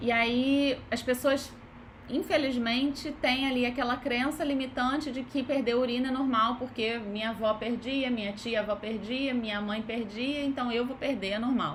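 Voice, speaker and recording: At a high pitch and moderate pace, a woman talks with fairly even intonation amid audible room echo. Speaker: physiotherapist. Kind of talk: live online lecture. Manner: casual conversational.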